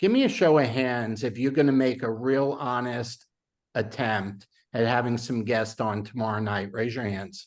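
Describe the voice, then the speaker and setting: A man with a New York accent at a medium pitch, with ordinary pitch variation against a quiet background. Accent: New York drawl. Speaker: sales team trainer. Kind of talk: training session on a call. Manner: casual, halting with repeated words.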